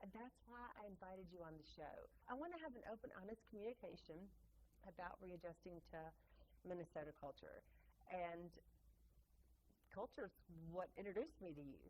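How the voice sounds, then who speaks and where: This woman speaks at a moderate pace with lively intonation and a medium pitch, in a Mississippi accent. Her delivery is broken up by long, frequent pauses. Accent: Southern US (Mississippi). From Mississippi, US South. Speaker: podcast host, tour guide. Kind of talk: casual interview chat.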